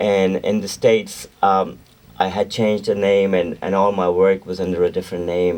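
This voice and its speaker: In a Pakistani accent, a man speaks with a very deep, low pitch, a dark, mellow tone and monotone, flat intonation. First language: Urdu. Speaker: singer-songwriter and record producer. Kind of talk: radio interview. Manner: halting.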